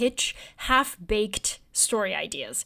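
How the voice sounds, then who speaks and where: Speaking with a Bulgarian accent, a woman moves at a very slow pace with fairly even intonation. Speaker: newsletter writer and journalist. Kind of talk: interview conversation.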